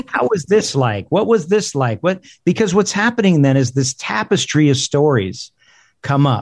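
Somewhat breathy and fairly high-pitched, a man speaks at a moderate pace with very wide pitch swings and very even loudness. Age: 50s. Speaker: funeral industry executive. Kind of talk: casual interview. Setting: video call. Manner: halting.

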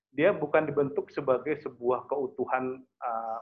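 A man is speaking. Music plays in the background. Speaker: international relations analyst. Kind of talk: online webinar talk. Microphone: connection dropped.

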